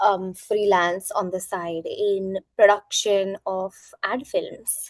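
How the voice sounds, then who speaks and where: A woman speaks at a very slow pace with a medium pitch and fairly even intonation. The sound is dry and close with no echo. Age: 20s. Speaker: influencer and talent manager. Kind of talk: interview.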